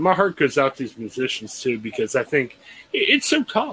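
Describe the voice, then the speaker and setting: Amid noticeable background noise, a man with an American accent speaks at a fairly quick pace, his pitch swinging very widely. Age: 40s. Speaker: podcast host. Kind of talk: casual interview chat.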